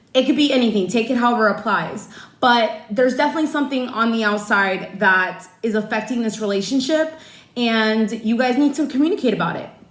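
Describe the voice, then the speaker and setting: A fairly quick, passionate and animated delivery with ordinary pitch variation and audible room echo. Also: woman, fairly high pitch for a woman. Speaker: tarot card reader. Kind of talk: personal tarot reading. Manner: loud; passionate, animated.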